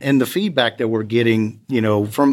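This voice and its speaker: Pitch moves up and down in an ordinary way. The voice carries an American accent. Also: man, very clean recording, silent background. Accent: South Louisiana (Cajun-tinged) US Southern. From US South, Lafayette, Louisiana. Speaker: oil and gas safety manager. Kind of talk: interview conversation.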